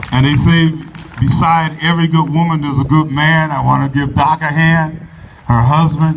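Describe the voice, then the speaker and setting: Against noticeable background noise and audible room echo, a man speaks at a moderate pace. His pitch is fairly high and his intonation is monotone and flat. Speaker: politician. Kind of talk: public speech. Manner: loud.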